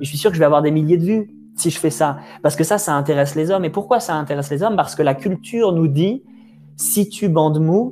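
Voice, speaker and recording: This man's voice is high-pitched, with a dark, mellow tone. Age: 20s. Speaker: video creator and podcast host. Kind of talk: casual conversation. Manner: hesitant, many fillers.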